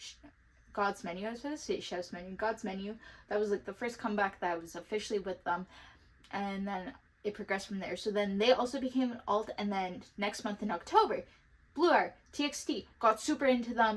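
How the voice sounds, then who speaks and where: A woman with a fairly high pitch talks at a fairly quick pace against noticeable background noise. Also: ordinary pitch variation. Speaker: K-pop collector vlogger. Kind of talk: casual vlog talk.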